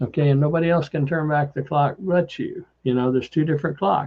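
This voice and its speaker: Fairly high-pitched and somewhat breathy, a man speaks with fairly even intonation. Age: 70s. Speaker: wellness product seller and show host. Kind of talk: casual chat; sales pitch. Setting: expo booth.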